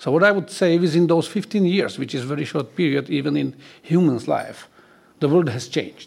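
A fairly high-pitched man with a Slovak accent at a fairly quick pace. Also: ordinary pitch variation. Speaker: retired general and security expert. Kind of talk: panel discussion.

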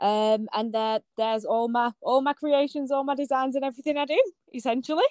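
A woman speaks at a fairly quick pace with a northern English accent and a high pitch. Her pitch varies in an ordinary way, and the sound is dry and close with no echo. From northern England. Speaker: small business owner, designer. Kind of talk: casual interview chat.

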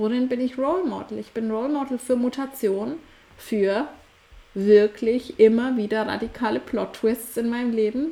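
Noticeable background noise accompanies a woman's fairly high voice. She moves at a moderate pace with ordinary pitch variation. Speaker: podcast host and coach. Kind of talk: solo podcast monologue. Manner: occasional stumbling.

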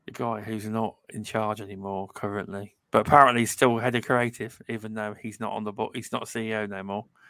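In a British accent, a man with a fairly low pitch and a bright, sharp tone talks at a fairly quick pace in a flat monotone with hardly any pauses. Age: 30s. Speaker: gaming podcast co-host. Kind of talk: casual chat.

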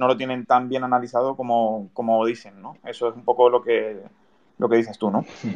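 A man with a plain, everyday voice, medium pitch, fairly even intonation, a moderate pace and big swings in loudness. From Canary Islands (Tenerife). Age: 20s. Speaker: podcast host. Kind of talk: casual interview.

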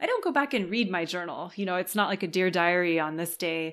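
A fairly low-pitched woman's voice with a Californian accent at a very fast pace, on a very clean recording with a silent background. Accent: American (Californian). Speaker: writing coach. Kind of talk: interview conversation.

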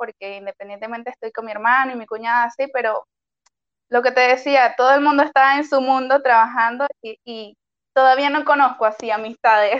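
With a high pitch and ordinary pitch variation, a woman speaks at a moderate pace, her loudness swinging widely in a dry, close sound with no echo. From Venezuela, Maracay. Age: 20s. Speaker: doctor. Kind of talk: interview.

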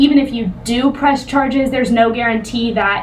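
The recording has audible room echo. Noticeable background noise is present as well. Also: woman. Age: 20s. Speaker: podcast co-host for a survivor-support nonprofit. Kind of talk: casual educational discussion.

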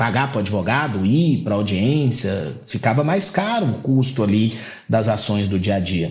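A man speaks at a moderate pace and medium pitch, with audible room echo and noticeable background noise. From Goiás, Brazil. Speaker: lawyer and bar association president. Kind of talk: casual interview.

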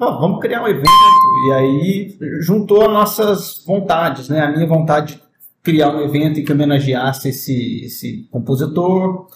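A man speaks fairly slowly in an unremarkable speaking voice. His pitch is fairly high. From southern Minas Gerais, Brazil (Itajubá). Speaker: violinist and music professor. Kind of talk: casual interview chat.

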